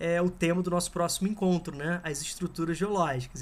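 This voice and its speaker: A man speaks with a Brazilian accent at a high pitch. His intonation stays fairly even. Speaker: geography teacher. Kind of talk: lecture. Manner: casual, conversational.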